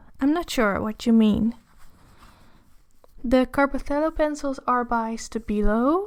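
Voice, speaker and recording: With a Dutch accent, a woman speaks at a very slow pace and a high pitch with ordinary pitch variation, on a very clean recording with a silent background. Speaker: artist and art teacher. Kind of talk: casual livestream chat while drawing. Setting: livestream. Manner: halting.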